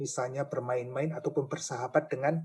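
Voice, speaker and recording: Somewhat breathy and fairly high-pitched, a man speaks at a moderate pace in a flat, monotone way. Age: 60s. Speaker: church elder. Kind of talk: talk show interview. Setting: radio studio. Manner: halting.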